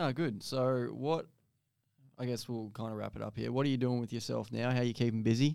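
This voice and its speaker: In an Australian accent, a man talks at a fairly quick pace. His tone is dark and mellow, with fairly even intonation. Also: medium pitch for a man. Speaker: podcast host. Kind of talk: casual chat. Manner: casual, swears.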